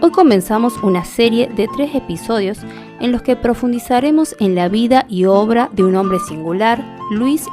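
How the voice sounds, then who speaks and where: A woman's fairly high-pitched voice with music in the background. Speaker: radio host. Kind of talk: radio program host narration and interview.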